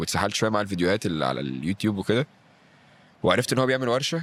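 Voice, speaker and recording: A man with a Cairo accent speaks in an animated tone with lively intonation. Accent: Egyptian Arabic (Cairo). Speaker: stand-up comedian and actor. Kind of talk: podcast interview. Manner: animated, acts out what he says.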